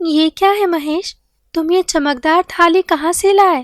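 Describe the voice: A woman puts on a cartoonish character voice at an extremely high pitch, raised and projected, with ordinary pitch variation at a moderate pace, recorded dry and close with no echo.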